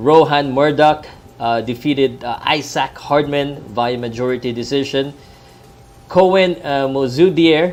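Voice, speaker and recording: A man with a Filipino accent speaks at a very slow pace, with medium pitch and ordinary pitch variation. Noticeable background noise can be heard. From Philippines. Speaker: sports vlogger. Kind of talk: live boxing talk stream. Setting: laptop live stream at in-laws' house. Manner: hesitant, many fillers. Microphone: laptop and earbuds, not usual mic.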